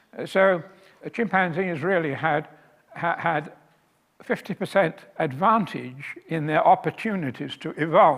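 A man speaks at a high pitch with ordinary pitch variation. His pace is very slow, with long, frequent pauses. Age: 80s+. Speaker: author and lecturer. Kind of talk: lecture. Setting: stage with audience. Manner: hesitant, many fillers.

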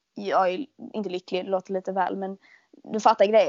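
A woman with a medium-pitched voice speaks in a flat monotone. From Sweden, Skåne. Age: 20s. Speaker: podcast host, shop worker. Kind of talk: casual chat.

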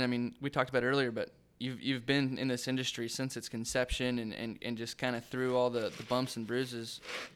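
On a very clean recording with a silent background, a man speaks at a fairly quick pace. He has an unremarkable speaking voice at a medium pitch. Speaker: podcast interviewer. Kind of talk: casual interview.

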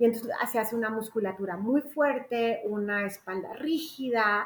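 Using an ordinary speaking voice, a woman with a fairly high pitch talks at a fairly slow pace with ordinary pitch variation. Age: 50s. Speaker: gestalt psychotherapist. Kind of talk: casual interview chat.

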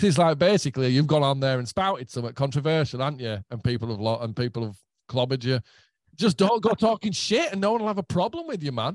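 A fairly high-pitched man with a Yorkshire accent talks at a very fast pace in an animated tone, his pitch swinging very widely. The background is quiet, and the sound is dry and close with no echo. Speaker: guitarist and songwriter. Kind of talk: casual chat.

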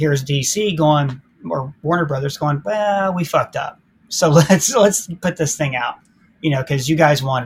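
A somewhat breathy man with an American accent, fairly high pitch and moderate pace. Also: ordinary pitch variation. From Ohio. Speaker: YouTube film critic. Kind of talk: casual chat.

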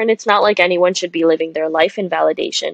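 In an ordinary speaking voice, a woman talks at a fairly low pitch with fairly even intonation, the sound dry and close with no echo. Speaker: podcast co-host, medical student. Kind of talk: casual chat.

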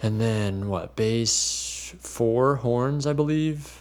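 With an American accent, the speaker goes at a very slow pace using lively intonation. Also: man. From New Jersey. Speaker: keyboardist. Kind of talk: interview.

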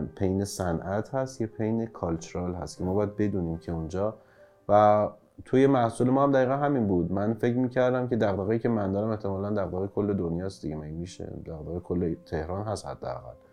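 An unremarkable speaking voice moves along at a fairly quick pace. Its pitch varies in an ordinary way. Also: man, fairly low pitch for a man. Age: 30s. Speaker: startup founder and CEO. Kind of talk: interview. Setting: studio.

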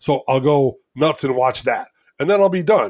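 Talking fairly quickly, a man speaks in an American accent. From Elgin, Illinois. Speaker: self-described geek collector. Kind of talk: casual interview. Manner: halting, repeats words.

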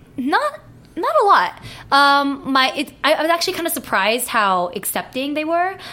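Raising and projecting her voice, a woman talks at a moderate pace. Her pitch swings very widely. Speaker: adult film performer. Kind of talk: casual chat. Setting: studio.

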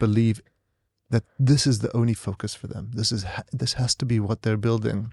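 A man with an American accent talks at a fairly quick pace in a dark, mellow tone, his medium pitch monotone and flat, the sound dry and close with no echo over a quiet background. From US, San Diego (born South Africa). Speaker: tech entrepreneur and investor. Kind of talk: interview. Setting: studio.

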